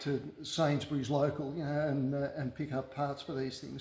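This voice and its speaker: A man speaks with an Australian accent in a fairly high pitch. His delivery is monotone and flat, and somewhat breathy. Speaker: car restorer. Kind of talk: workshop tutorial. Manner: halting, many fillers.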